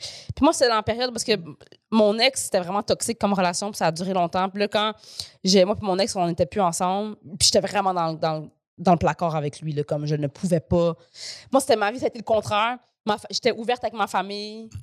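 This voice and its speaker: A woman speaks at a fairly quick pace and medium pitch with ordinary pitch variation, in a plain, everyday voice. The sound is dry and close with no echo, a very clean recording with a silent background. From Quebec. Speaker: comedian. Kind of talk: casual chat.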